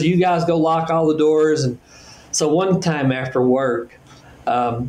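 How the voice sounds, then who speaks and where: A man with a fairly high pitch, an ordinary speaking voice and ordinary pitch variation. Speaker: business executive and author. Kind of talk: podcast interview.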